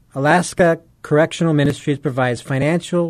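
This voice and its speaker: A man with an unremarkable speaking voice talks at a fairly high pitch with ordinary variation. The background is quiet. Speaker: radio host. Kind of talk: radio interview.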